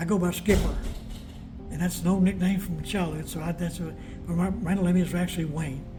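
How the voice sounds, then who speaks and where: A man's high-pitched voice with an American accent, moderate in pace and fairly even in intonation, with audible room echo and music in the background. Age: 70s. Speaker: war veteran. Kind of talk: interview. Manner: halting.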